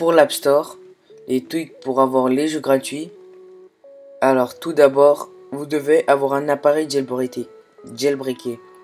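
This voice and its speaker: Over music in the background, a man talks at a very slow pace with fairly high pitch and fairly even intonation. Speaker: tech tutorial YouTuber. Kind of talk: screen-recorded tutorial. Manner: halting, many filler sounds and self-corrections.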